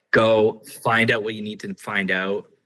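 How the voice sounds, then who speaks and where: Using a normal speaking voice, a man sits at a fairly low pitch, and his pitch varies in an ordinary way. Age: 40s. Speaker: podcast host. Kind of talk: casual chat.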